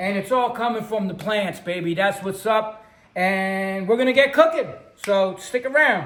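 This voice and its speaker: A man's high-pitched, animated voice at a moderate pace. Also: ordinary pitch variation. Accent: New York. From New York City. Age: 60s. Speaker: cooking show host and musician. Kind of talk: casual chat.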